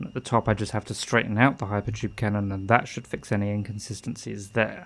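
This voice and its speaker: In a British accent, a man speaks at a very fast pace. His intonation is fairly even. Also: fairly low pitch for a man. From Britain. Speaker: video game streamer. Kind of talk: gameplay livestream commentary. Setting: home room at computer.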